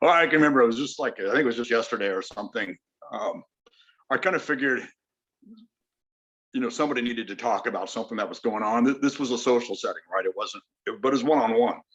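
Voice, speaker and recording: Though he speaks at a very fast pace, this man leaves long, frequent pauses. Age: 60s. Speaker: counselor. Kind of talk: interview.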